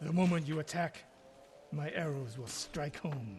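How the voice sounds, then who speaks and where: Over clear background noise, a man uses a raspy put-on character voice, pitched fairly high, at a moderate pace. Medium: video game. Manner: terse, stern.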